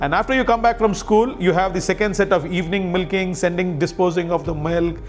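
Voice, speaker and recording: A man with a Telugu accent speaks at a fairly quick pace with ordinary pitch variation. Music plays in the background. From India, Karnataka (Bengaluru and Kolar area). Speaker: civil servant, diplomat. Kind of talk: interview, life story. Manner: hesitant, many fillers.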